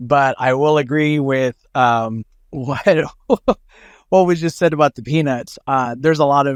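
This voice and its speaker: A normal speaking voice with an American accent moves at a fairly slow pace, with ordinary pitch variation. The recording is very clean, with a silent background. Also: man. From Oklahoma. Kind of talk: casual chat.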